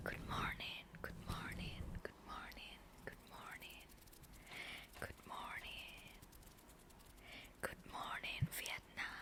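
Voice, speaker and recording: Whispering comes at a very slow pace. Long, frequent pauses break it up. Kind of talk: casual ASMR talk to camera. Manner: whispered.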